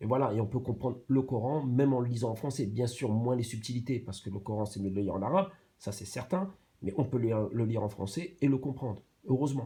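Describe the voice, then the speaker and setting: Very fast and somewhat breathy, a man talks at a medium pitch with a dark, mellow tone and ordinary pitch variation. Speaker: YouTube commentator. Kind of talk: reaction commentary. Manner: halting, many fillers and repetitions.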